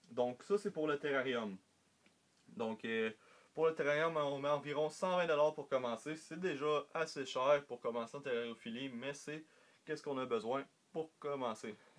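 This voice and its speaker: In a Quebec accent, a man with a fairly high pitch talks at a moderate pace with ordinary pitch variation. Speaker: reptile hobbyist YouTuber. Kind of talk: casual tutorial vlog. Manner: halting, many fillers.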